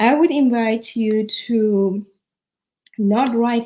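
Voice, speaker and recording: This woman's accent is non-native. She has a dark, mellow tone. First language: not English. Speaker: author. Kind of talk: live stream talk. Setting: livestream.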